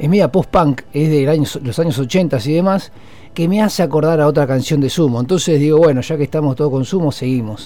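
Over music in the background, a man speaks in a fairly high pitch with ordinary pitch variation. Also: fairly quick pace. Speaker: radio host. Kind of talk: casual music radio talk.

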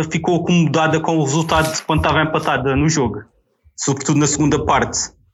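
This man has an unremarkable speaking voice, fairly high in pitch. His pace is fairly quick. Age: 30s. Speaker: football fan guest. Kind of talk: casual chat.

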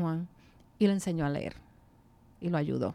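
On a spotless recording with total background silence, a woman's intonation stays fairly level. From New York City, then Puerto Rico (Quebradillas) from age 13. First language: English (speaking Spanish). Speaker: retired English teacher. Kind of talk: casual interview.

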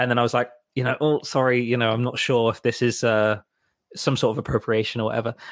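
A very fast, flat, monotone delivery at very even loudness, in a very clean recording with a silent background. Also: man, medium pitch for a man. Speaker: musical director and co-host. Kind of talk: casual banter podcast. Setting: Los Angeles.

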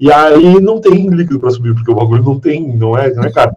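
This man talks at a very fast pace with a fairly high pitch. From southern Rio Grande do Sul, Brazil. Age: 30s. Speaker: podcaster. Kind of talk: casual chat.

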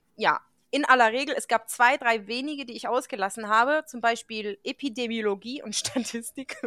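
A woman speaks in a high pitch with a bright, sharp tone. The sound is dry and close, with no echo. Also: ordinary pitch variation, moderate pace, big swings in loudness. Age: 30s. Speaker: veterinarian, podcast host. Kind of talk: casual chat.

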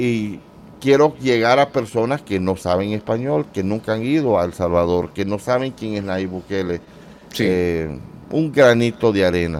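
An unremarkable speaking voice from a man, fairly slow in pace, with lively intonation. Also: fairly low pitch for a man. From Central America, mostly Honduras and Nicaragua. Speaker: YouTuber. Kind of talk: interview.

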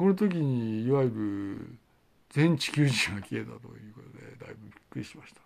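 The man talks at a moderate pace. His pitch is medium and his intonation lively. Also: big swings in loudness. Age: 50s. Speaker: independent video blogger. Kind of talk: solo monologue. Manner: halting, many fillers.

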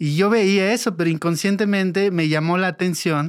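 A man at a moderate pace on a very clean recording with a silent background. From Mexico, Oaxaca Sierra Norte (Mixe community). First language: Mixe (speaking Spanish). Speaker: sound engineer. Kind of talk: interview storytelling.

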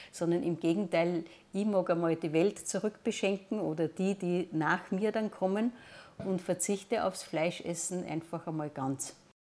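This woman has an unremarkable speaking voice, a fairly low pitch and ordinary pitch variation. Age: 60s. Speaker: teacher. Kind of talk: interview testimony.

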